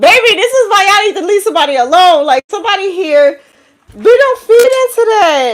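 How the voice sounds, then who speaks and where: A voice with a New York accent moves at a fairly quick pace with very wide pitch swings. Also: woman. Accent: New York City. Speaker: tarot reader. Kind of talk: live tarot reading. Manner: animated.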